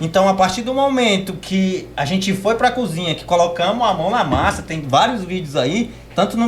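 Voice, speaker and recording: Noticeable background noise runs under a man's voice. He speaks at a moderate pace with lively intonation. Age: 20s. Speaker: podcast guest. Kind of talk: casual chat.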